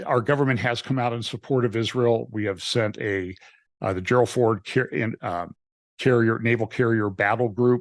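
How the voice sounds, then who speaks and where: A man with a plain, everyday voice speaks at medium pitch and a moderate pace, with fairly even intonation and a quiet background. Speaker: pastor. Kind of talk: interview.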